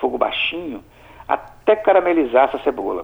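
Over noticeable background noise, a man's words come at a moderate pace. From Brazil, Espírito Santo (Alegre, south of the state). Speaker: chef. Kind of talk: recipe tutorial in radio chat.

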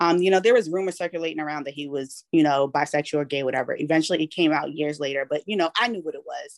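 Speaking at a very fast pace with hardly any pauses, a woman with an American accent has a very deep, low pitch and ordinary pitch variation in a dry, close sound with no echo. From Boston, US. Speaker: podcast co-host. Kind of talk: casual chat.

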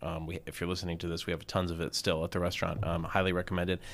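A man with an American accent talks at a very fast pace. His pitch is very deep and low, and the recording is very clean with a silent background. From US South, Atlanta suburbs (Gwinnett County, Georgia). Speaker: chef and restaurant owner. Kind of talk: casual interview. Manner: hesitant, many fillers.

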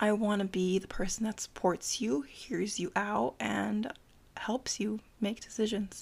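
Speaking with an American accent, a woman has a medium pitch, ordinary pitch variation and vocal fry at a fairly slow pace. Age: 20s. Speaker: student, host's childhood best friend. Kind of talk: casual chat.

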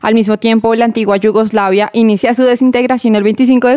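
The woman's voice, fairly high in pitch, stays flat and monotone. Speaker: radio host. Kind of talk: radio show monologue.

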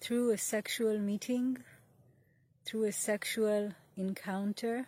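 In a calm, soothing tone, a woman speaks very slowly at a fairly high pitch, somewhat breathy and monotone with flat intonation. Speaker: meditation teacher. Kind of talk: guided meditation. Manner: slow, calm, soothing.

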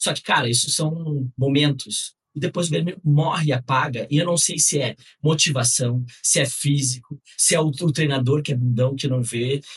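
With a fairly high pitch and fairly even intonation, a man speaks in a somewhat breathy way. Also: moderate pace. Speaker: football podcast co-host. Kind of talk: casual chat.

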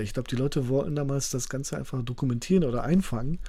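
The voice has a dark, mellow tone and is somewhat breathy. It moves at a very fast pace with ordinary pitch variation. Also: man. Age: 40s. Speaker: author and teacher. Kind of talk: podcast interview.

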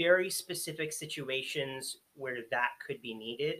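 A man speaks at a fairly slow pace. His tone is bright and sharp. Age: 20s. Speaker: escape room host. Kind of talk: casual chat.

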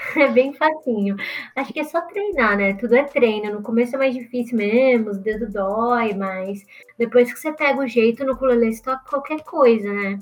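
A woman with a high pitch speaks at a moderate pace, her loudness swinging widely and her pitch varying in an ordinary way, with noticeable background noise behind her. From Brazil, interior of São Paulo state. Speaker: musician and content creator. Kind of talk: casual interview.

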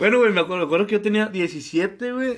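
A man at a moderate pace. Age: 20s. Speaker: podcast co-host. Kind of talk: casual chat.

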